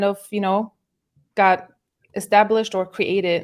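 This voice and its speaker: A woman of medium pitch speaks with a German accent. The recording is very clean, with a silent background. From Germany. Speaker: musical artist. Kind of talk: podcast interview. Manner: halting.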